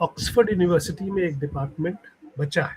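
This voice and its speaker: This male speaker's voice sits high. The rise and fall of his pitch is ordinary. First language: Punjabi (speaking Hindi). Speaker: writer. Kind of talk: interview. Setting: podcast.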